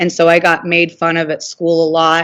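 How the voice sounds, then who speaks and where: A woman speaks at a fairly slow pace in a fairly low pitch, with an American accent, over a quiet background. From Southern California, San Diego area. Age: 30s. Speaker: abuse survivor. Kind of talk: interview testimony. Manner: hesitant, many fillers.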